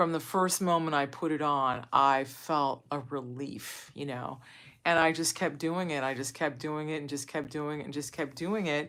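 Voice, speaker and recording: A woman speaks at a moderate pace with fairly even intonation. Her pitch is very deep and low, on a very clean recording with a silent background. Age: 60s. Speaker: wellness vlogger. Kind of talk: casual chat. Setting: livestream.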